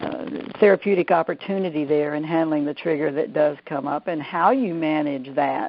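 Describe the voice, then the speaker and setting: With a Southern US accent, a woman speaks at a moderate pace in a very deep, low pitch with ordinary pitch variation. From US South, Georgia. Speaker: therapist, EFT trainer. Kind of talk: webinar interview. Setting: online call. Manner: hesitant, many fillers.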